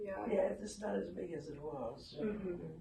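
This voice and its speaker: A woman speaks at a fairly slow pace, her pitch swinging very widely. Noticeable background noise runs under her voice. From southern Virginia. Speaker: retired music teacher, civil rights activist. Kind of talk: oral history interview answer.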